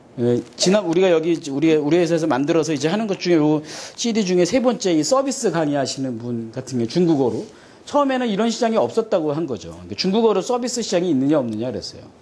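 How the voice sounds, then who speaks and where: Audible room echo carries a man's high-pitched voice as he talks at a very fast pace with very wide pitch swings. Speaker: seminar lecturer on China business. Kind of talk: seminar lecture.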